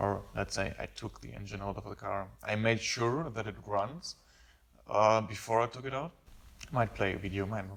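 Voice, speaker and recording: A man with a non-native accent speaks at a moderate pace in a fairly low voice, with vocal fry, ordinary pitch variation and big swings in loudness. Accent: noticeable non-native English. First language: not English. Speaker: car hobbyist YouTuber. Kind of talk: casual vlog talk. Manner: halting, many fillers. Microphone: camera built-in microphone, possible echo.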